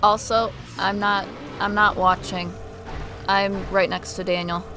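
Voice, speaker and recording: Over music in the background, a soft-spoken woman talks at a fairly slow pace in a medium pitch with monotone, flat intonation. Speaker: streamer's companion. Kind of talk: casual chat.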